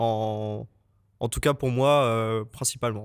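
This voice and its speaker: The voice belongs to a man. His words come through on a very clean recording with total silence behind them. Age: 20s. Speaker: junior motion designer. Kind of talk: podcast interview. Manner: hesitant, many fillers.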